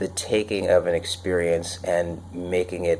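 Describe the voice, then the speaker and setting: A man speaks at a fairly slow pace in a very deep, low voice with a dark, mellow tone. His delivery is monotone and flat, and somewhat breathy. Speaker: personal development show host. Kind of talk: unscripted solo talk. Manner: casual with many fillers.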